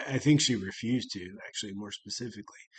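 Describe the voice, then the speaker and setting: A man speaks at a medium pitch with an American accent and fairly even intonation. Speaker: HR channel host. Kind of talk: casual commentary on a news story. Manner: halting, many fillers and restarts.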